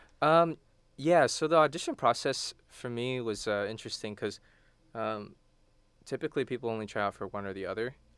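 On a very clean recording with a silent background, a man with a medium pitch and an unremarkable speaking voice talks at a fairly quick pace. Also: ordinary pitch variation. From Texas, Houston. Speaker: college student and a cappella singer. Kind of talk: radio interview. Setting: radio studio.

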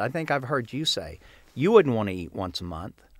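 A man with an American accent and vocal fry, at a fairly quick pace with very wide pitch swings, on a very clean recording with a silent background. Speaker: gardening magazine owner. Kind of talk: casual chat. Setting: studio.

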